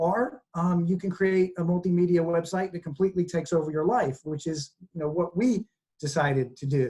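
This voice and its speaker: A man with an American accent speaks in a high pitch with a dark, mellow tone. His pitch variation is ordinary. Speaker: environmental website co-founder, former journalist. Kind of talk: online presentation. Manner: fast when excited; animated.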